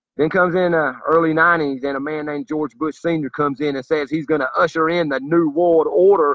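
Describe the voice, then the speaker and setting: In a Southern US accent, the speaker moves at a fairly quick pace with ordinary pitch variation. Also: man. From US South. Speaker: political commentator. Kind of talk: monologue. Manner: animated.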